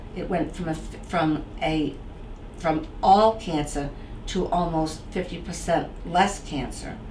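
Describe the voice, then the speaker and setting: Over noticeable background noise, a woman with a Boston accent talks at a very slow pace with fairly even intonation. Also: fairly low pitch for a woman. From Boston area. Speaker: author. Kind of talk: interview answer.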